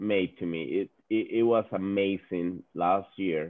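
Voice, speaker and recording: A man with a Spanish accent speaks in a fairly low pitch with ordinary pitch variation. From Venezuela. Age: 40s. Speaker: business executive. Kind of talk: webinar talk. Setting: video call. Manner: halting, repeats words.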